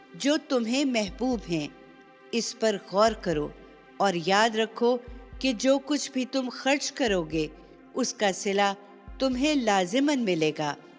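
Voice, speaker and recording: Over music in the background, a woman speaks with lively intonation and a fairly high pitch. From Pakistan. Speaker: voice artist. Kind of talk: religious scripture translation reading.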